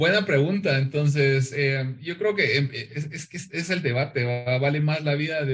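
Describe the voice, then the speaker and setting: A man with a Guatemalan accent speaks at a fairly slow pace and a fairly high pitch. His voice is somewhat breathy, with ordinary pitch variation. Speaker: pop culture and comics commentator. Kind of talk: casual chat.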